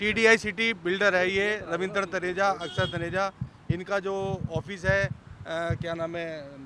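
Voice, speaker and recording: The voice is raised and projected, with fairly even intonation. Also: man, high pitch for a man. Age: 60s. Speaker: residents' association member. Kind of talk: media interview, complaint. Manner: hesitant with fillers.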